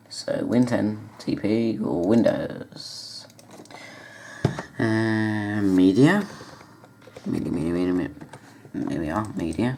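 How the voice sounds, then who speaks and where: A man's very slow speech with long, frequent pauses, audible room echo and noticeable background noise. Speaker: tech YouTuber. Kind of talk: screen-recording tutorial.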